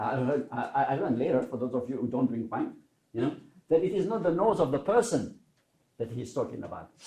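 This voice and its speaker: A man speaks at a fairly quick pace in a dark, mellow tone. His voice is somewhat breathy, with very wide pitch swings. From Switzerland, French-speaking. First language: French. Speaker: learning theorist giving keynote. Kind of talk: conference talk. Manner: conversational, many fillers and repetitions.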